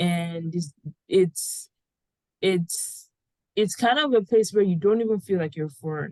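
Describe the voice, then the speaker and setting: Speaking at a fairly slow pace with long, frequent pauses, a woman with a Nigerian accent uses lively intonation at medium pitch in a dry, close sound with no echo. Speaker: podcast host. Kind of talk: casual chat.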